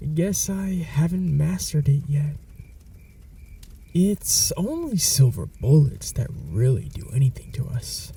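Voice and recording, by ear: Slowly, a man puts on a character voice with a dark, mellow tone and vocal fry. His fairly high pitch moves in big swings.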